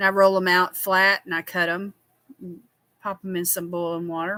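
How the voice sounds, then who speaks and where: A woman in a Southern US accent, with a bright, sharp tone at medium pitch and a moderate pace, in a very clean, dry, close recording with a silent background and no echo. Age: 60s. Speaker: skincare livestreamer. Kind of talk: casual chat. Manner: animated.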